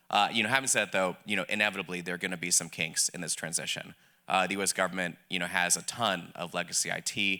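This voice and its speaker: With a slight Southern US accent, a man speaks at a fairly quick pace in a very deep, low pitch with a bright, sharp tone on a very clean recording with a silent background. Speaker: government policy official. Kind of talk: panel discussion.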